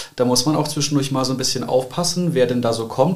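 A man speaks very fast, his pitch varying in an ordinary way. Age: 20s. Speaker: church youth volunteer. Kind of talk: casual chat.

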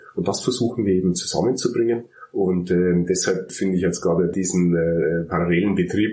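In a Bavarian accent, a man with a very deep, low voice speaks at a moderate pace with fairly even intonation. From Bavaria, Germany. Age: 30s. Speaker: dental clinic manager and software entrepreneur. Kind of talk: interview.

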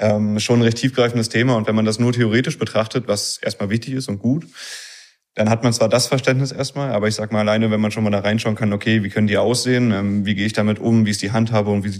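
Very fast, monotone, flat speech with a slight northern German accent. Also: man. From Berlin area, Germany. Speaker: engineering student. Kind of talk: interview.

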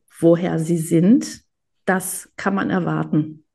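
Against a quiet background, the voice sounds somewhat breathy with a dark, mellow tone. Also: woman. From Germany, Greek family. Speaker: photographer and cookbook author. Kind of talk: interview.

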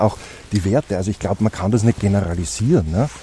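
A man speaks at a very fast pace with ordinary pitch variation. The sound is dry and close, with no echo. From Austria, Styria. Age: 40s. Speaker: politician. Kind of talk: interview. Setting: outdoors.

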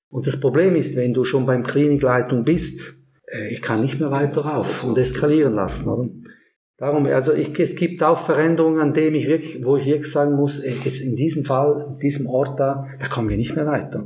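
A man's fairly high voice with vocal fry and a dark, mellow tone, moderate in pace, fairly even in intonation, with audible room echo. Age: 50s. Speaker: work psychologist. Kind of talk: podcast interview.

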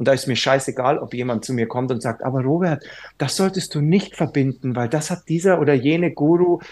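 A man speaks in an ordinary speaking voice with ordinary pitch variation at a moderate pace. The recording is very clean, with a silent background. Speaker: yoga teacher. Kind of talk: casual chat.

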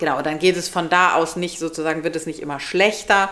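The speech moves at a fairly quick pace with monotone, flat intonation, under noticeable background noise. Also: woman. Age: 40s. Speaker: podcast co-host. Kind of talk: casual chat.

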